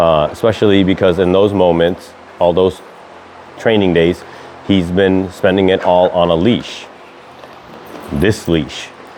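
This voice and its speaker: Over noticeable background noise, a man with a very deep, low voice speaks with long, frequent pauses. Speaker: dog trainer. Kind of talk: tutorial. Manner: casual, some filler words.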